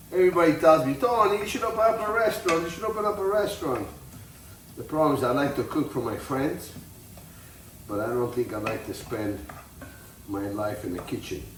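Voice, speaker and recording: A man's fairly high voice at a fairly quick pace, with very wide pitch swings and long, frequent pauses, amid audible room echo and music in the background. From Italy. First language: Italian. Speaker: tailor and home cook. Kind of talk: cooking tutorial. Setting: home kitchen. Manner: casual, halting.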